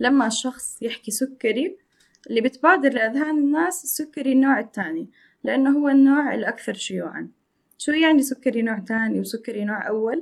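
Using lively intonation, a woman speaks at a moderate pace. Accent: Jordanian. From Jordan. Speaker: dietitian. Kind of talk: podcast interview.

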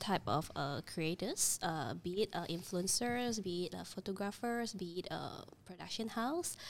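A woman's unremarkable speaking voice, medium in pitch, with lively intonation, a moderate pace and hardly any pauses. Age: 30s. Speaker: creative studio co-founder. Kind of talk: casual chat.

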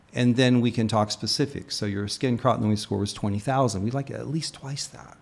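In a normal speaking voice of medium pitch, a man talks at a moderate pace with fairly even intonation, big swings in loudness and hardly any pauses. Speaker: optometrist. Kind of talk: interview.

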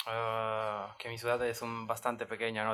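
Speaking in an Italian accent, the voice keeps a fairly slow pace. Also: man. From Italy, L'Aquila. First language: Italian (speaking Spanish). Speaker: exchange student. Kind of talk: casual chat. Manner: halting.

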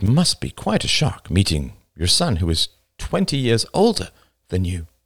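Over a quiet background, the speaker does plain reading aloud.

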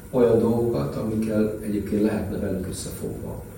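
A man with a fairly low voice talks at a fairly quick clip with ordinary pitch variation, over noticeable background noise and audible room echo. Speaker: former ambassador. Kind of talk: panel discussion. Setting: live event with audience.

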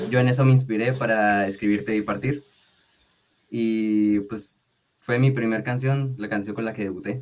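With fairly even intonation and a medium pitch, this man uses an ordinary speaking voice at a moderate pace. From Mexico, Tijuana, Baja California. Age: young. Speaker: singer-songwriter and music producer. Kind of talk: radio interview.

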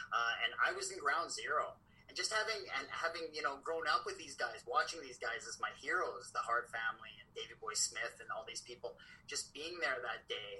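With a Canadian accent, a man speaks at a moderate pace. His loudness swings widely. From Saskatchewan, Canada. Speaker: author and journalist. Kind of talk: casual interview.

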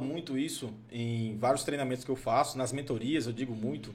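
A man at a medium pitch and fairly quick pace, with noticeable background noise. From Goiás, Brazil. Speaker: podcast host. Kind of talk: casual chat.

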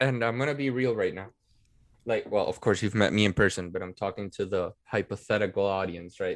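A man speaks with a Spanish accent on a very clean recording with a silent background. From Venezuela. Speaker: political science student and writer. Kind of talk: casual chat.

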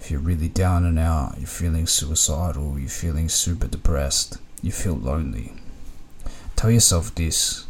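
In an Australian accent, a man speaks at a fairly slow pace with a very deep, low pitch. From Australia, Melbourne (Ringwood). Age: 30s. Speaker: storyteller guest. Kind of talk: casual monologue.

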